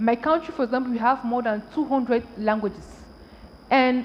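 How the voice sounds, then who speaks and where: A woman's voice, high in pitch. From Cameroon. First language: French. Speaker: tech entrepreneur and panelist. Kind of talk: panel discussion.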